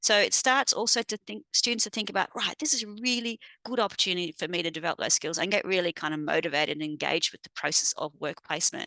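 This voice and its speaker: In an Australian accent, a woman with a medium pitch races along at a very fast pace with hardly any pauses, using lively intonation and a bright, sharp tone in a dry, close sound with no echo over a quiet background. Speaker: university educator presenting at a conference. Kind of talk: conference presentation.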